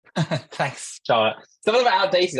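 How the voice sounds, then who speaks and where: The speaker has an English accent and keeps a moderate pace. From London, England. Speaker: startup founder. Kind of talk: conference talk. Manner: hesitant, many fillers.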